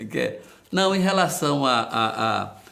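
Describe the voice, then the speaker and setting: Lively intonation marks this man's very slow speech, which carries audible room echo. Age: 70s. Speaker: politician. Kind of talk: interview. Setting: studio. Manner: halting.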